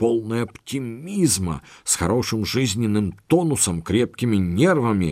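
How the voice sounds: The voice reads naturally. Nothing about the reading sounds forced.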